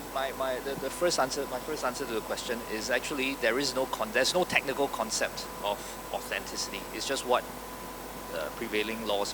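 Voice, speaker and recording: With noticeable background noise, a man speaks very fast at a medium pitch in a Singaporean accent, with ordinary pitch variation. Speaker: tech company co-founder, panelist. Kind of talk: panel discussion.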